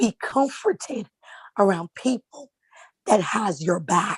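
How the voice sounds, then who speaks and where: Somewhat breathy, a woman speaks with lively intonation in a dry, close sound with no echo. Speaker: author and motivational speaker. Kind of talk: motivational talk.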